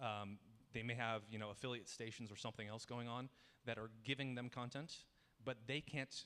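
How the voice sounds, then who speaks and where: At a fairly quick pace, a man speaks at medium pitch. His intonation stays fairly even. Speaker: software engineer giving a tech talk. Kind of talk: conference talk with slides. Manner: fast.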